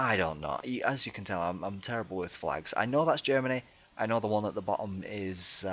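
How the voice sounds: The reading voice sounds natural. Pitch moves up and down in an ordinary way.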